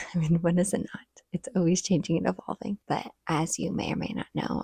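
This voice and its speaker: Quiet and marked by vocal fry, a woman's medium-pitched voice comes at a moderate pace with a dry, close sound and no echo. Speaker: stay-at-home mom vlogger. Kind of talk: casual vlog talk to camera. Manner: talking quietly.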